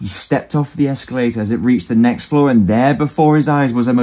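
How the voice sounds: The voice is a natural reading voice. That holds from start to finish.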